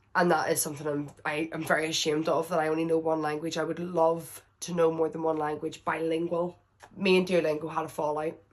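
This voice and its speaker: A woman with a Northern Irish accent speaks at a very deep, low pitch in a monotone, flat intonation. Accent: Northern Irish, heavy. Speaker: vlogger. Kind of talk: casual Q&A chat. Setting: indoors at someone else's house. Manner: loud; chatty, rambling.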